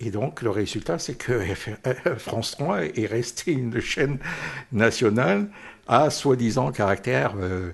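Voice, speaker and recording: The man talks at a very slow pace with a medium pitch. His intonation is lively and his voice is somewhat breathy. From North Africa (French Algeria), Corsican family. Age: 70s. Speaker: veteran journalist. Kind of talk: interview. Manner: hesitant, many fillers and repetitions.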